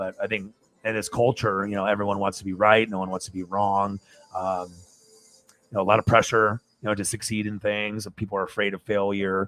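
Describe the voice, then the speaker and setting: A man's fairly low, monotone voice at a fairly quick pace, flat in intonation, with a dry, close sound and no echo. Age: 40s. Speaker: sports livestreamer. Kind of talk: casual chat. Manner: rambling, filler-heavy.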